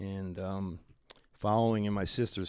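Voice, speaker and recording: The speaker has a Philadelphia accent and keeps a moderate pace. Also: man. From Philadelphia, northeast (Oxford Circle). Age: 70s. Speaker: music promoter. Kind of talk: radio interview.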